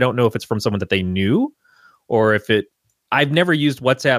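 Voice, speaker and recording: With a normal speaking voice, a man with an American accent talks at a medium pitch with lively intonation, the recording very clean, dry and close, with no echo and a silent background. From Michigan. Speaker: podcast guest co-host. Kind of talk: casual chat.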